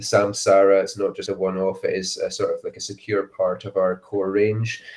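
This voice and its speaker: A man talks at a moderate pace in a Dundee accent. The recording is very clean, with a silent background. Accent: Scottish (Dundee). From Scotland, Dundee area. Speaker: whisky brand ambassador. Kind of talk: casual chat. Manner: hesitant, many fillers.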